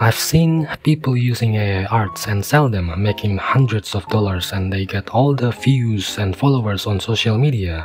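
A man talks with lively intonation. Behind him, music plays. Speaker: artist. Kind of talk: casual talk to camera.

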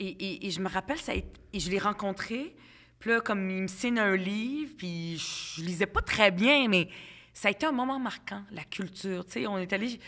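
A woman with a bright, sharp tone and lively intonation is heard against a quiet background. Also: moderate pace. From Quebec, Montreal (Ville-Saint-Laurent), immigrant from Lebanon as child; Quebec. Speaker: politician. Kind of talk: podcast interview. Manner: casual, hesitant with fillers. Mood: warm, reminiscing. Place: home room. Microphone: studio mic.

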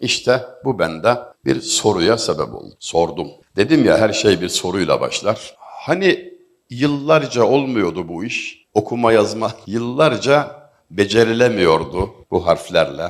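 Vocal fry runs through a voice with very wide pitch swings. The pace is very slow. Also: man, medium pitch for a man. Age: 50s. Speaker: literature lecturer. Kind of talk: public talk.

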